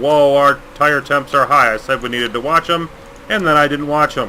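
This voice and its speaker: Against noticeable background noise, a man talks at a moderate pace in a fairly high voice with fairly even intonation. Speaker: gaming YouTuber. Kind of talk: let's play commentary. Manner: halting; casual.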